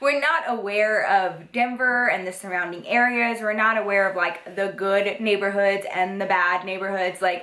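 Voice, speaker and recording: A woman with an American accent speaks at a moderate pace and medium pitch, with ordinary pitch variation, hardly any pauses and very even loudness. Audible room echo and noticeable background noise are present. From Texas. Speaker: YouTuber. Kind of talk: story time vlog. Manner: animated, casual.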